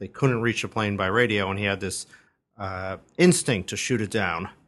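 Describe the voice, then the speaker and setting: In an ordinary speaking voice, a man talks at a moderate pace with ordinary pitch variation, the background quiet. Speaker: entertainment journalist. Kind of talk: casual chat giving advice.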